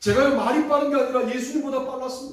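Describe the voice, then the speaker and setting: A man races along at a very fast pace, his extremely high pitch held in a monotone, flat intonation. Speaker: pastor. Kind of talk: sermon.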